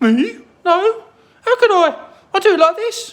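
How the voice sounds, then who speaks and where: This is a put-on character voice that sounds female and squeaky. Its pitch is extremely high for a woman. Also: moderate pace. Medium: read story.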